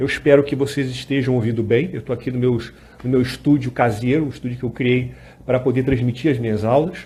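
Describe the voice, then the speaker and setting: A man with a Rio de Janeiro accent and a dark, mellow, somewhat breathy tone, at a moderate pace and medium pitch, with ordinary pitch variation and audible room echo. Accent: carioca (Rio de Janeiro). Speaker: lawyer and law lecturer. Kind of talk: live-streamed lecture. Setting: home studio, Instagram live. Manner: casual, with frequent fillers.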